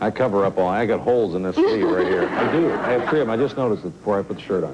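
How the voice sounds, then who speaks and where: Against noticeable background noise, a man talks at a very fast pace in a fairly low voice with lively intonation. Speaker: dating show host. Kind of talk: TV dating show.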